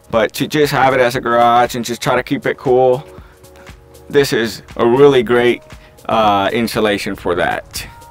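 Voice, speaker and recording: A man's voice at a fairly slow pace, with ordinary pitch variation and faint music in the background. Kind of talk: tour walkthrough explanation. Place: open country. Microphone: phone near.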